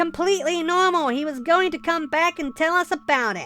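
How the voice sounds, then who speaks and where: Clear music plays behind a put-on character voice delivered at a fairly quick pace. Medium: read story.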